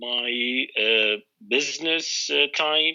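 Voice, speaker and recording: A man with an Arabic accent at a medium pitch. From Iraq, Baghdad. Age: 40s. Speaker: English learner, UN contractor. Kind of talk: trial English lesson. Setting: Skype call. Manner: halting, many fillers.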